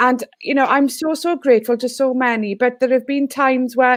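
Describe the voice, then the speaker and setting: With a Welsh accent, a woman talks at a moderate pace in a high pitch over a quiet background. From Wales. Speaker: teacher and education consultant. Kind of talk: online panel discussion.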